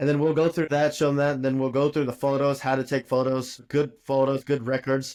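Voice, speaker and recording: At a fairly quick pace with hardly any pauses, a man speaks at a fairly high pitch in a monotone, flat delivery with very even loudness. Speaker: dentist and dental educator. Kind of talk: podcast interview. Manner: fast.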